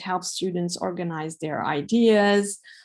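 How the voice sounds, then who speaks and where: In a Hungarian accent, a woman speaks at a medium pitch and a fairly slow pace. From Hungary. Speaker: professor. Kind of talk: webinar Q&A. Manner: hesitant, many fillers.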